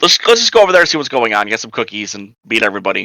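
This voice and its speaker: In a put-on character voice, a man talks at a very fast pace. His tone is raspy and his pitch sits at a medium level. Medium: actual play.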